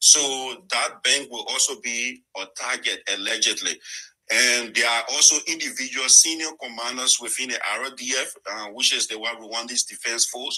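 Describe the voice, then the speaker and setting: His loudness swings widely as a man speaks at a moderate pace with medium pitch and fairly even intonation. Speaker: journalist and advocate. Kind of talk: panel discussion on a call-in talk show. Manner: halting, with many fillers.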